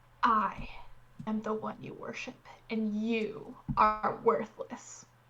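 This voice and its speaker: A woman uses a put-on character voice that is guttural and fairly high-pitched, delivered at a very slow pace. Her intonation is monotone and flat, while her loudness swings widely. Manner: commanding, domineering.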